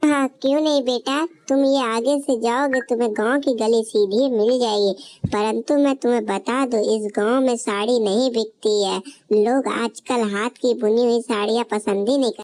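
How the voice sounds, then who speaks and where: A cartoonish character voice from a woman, fairly high in pitch, at a moderate pace with fairly even intonation. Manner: gentle, fatherly.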